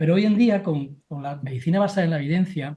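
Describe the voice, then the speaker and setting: Words pour out very quickly, with pitch moving in an ordinary way. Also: man. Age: 60s. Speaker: family doctor. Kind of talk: panel discussion.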